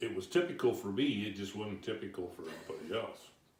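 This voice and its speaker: A man's fairly low, dark, mellow voice, somewhat breathy, with ordinary pitch variation. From Santa Cruz, California. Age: 70s. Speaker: retired Navy worker. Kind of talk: interview answer.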